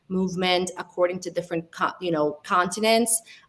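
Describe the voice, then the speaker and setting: Speaking with an Italian accent, a woman uses a medium pitch with ordinary pitch variation. Her pace is moderate. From Italy, Albanian heritage. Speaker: data science panelist. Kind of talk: panel discussion.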